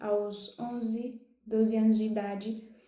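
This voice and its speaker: Her pitch is fairly high, with a dark, mellow tone and monotone, flat intonation. Audible room echo surrounds the woman. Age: 20s. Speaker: youtuber sharing personal mental health story. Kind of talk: personal testimony. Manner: halting, with restarts.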